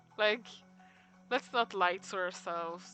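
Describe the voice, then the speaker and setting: Music plays in the background. The speech moves at a very slow pace. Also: woman. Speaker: streamer / artist. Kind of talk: casual live-stream chat while drawing. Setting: live stream. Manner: soft-spoken; halting, many fillers.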